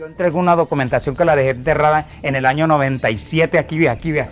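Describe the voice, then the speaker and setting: Speaking at a very fast pace, a man uses fairly high pitch and fairly even intonation. Noticeable background noise runs underneath. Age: 60s. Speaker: land rights activist. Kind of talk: testimony. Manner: halting.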